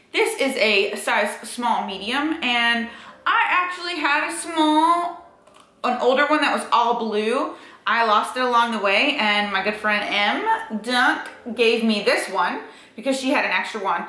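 Speaking at a fairly slow pace, a woman with a high pitch is heard with audible room echo. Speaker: fitness vlogger. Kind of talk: casual vlog chat. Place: home room. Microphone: camera far.

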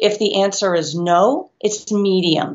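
Nothing much sounds in the background. A female voice carries the clip. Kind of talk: tutorial. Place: home room. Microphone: webcam.

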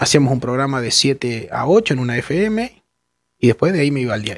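A man at a fairly slow pace with very wide pitch swings, dry sound with no echo, and a quiet background. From Argentina, La Pampa (General Pico); La Pampa, Argentina. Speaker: journalist. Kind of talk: interview. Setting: studio. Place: studio. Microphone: headset.

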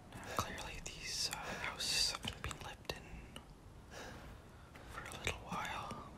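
Someone whispers at a fairly slow pace, leaving long, frequent pauses, against noticeable background noise. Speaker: ASMR creator. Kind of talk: ASMR gameplay commentary. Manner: whispered.

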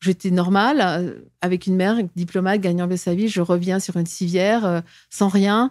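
At a moderate pace, a woman speaks with fairly even intonation and very even loudness against a quiet background. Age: 60s. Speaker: former diplomat and whistleblower; interview guest. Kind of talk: interview testimony. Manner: halting, frequent repetitions. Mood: aggrieved, earnest. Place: studio. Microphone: studio mic.

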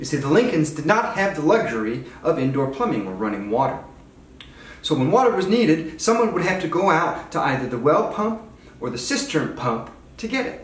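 In audible room echo, a man speaks at a moderate pace with a high pitch. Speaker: park ranger guide. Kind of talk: tour guide explanation. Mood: upbeat, playful. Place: kitchen.

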